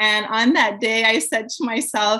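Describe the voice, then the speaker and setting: Fairly high-pitched woman at a moderate pace over noticeable background noise. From Quebec, Canada. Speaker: community worker and communications professional. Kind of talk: interview.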